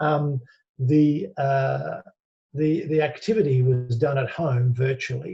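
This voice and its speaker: Very slow and somewhat breathy, a man with an Australian accent speaks in a dark, mellow tone at a fairly high pitch, with ordinary pitch variation and very even loudness. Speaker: business executive. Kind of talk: interview.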